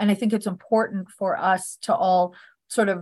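This woman has a plain, everyday voice with a Canadian accent and a medium pitch. She talks at a moderate pace with fairly even intonation over a quiet background. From Northern Alberta, Canada. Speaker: author and psychic medium. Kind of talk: casual interview.

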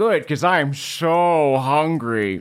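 A man's put-on character voice, fairly high and full of lively intonation, in a very clean recording with a silent background.

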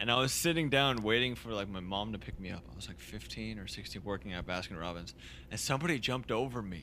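Talking at a very fast pace, a man with a fairly low pitch shows vocal fry, a bright, sharp tone, lively intonation and big swings in loudness. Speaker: singer-songwriter. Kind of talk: casual interview chat. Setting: recorded remotely in quarantine, home.

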